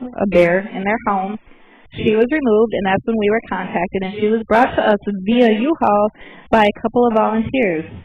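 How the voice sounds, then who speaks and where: In an ordinary speaking voice, a woman speaks at a moderate pace with a fairly high pitch and ordinary pitch variation. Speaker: bear center guide. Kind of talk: live presentation to visitors.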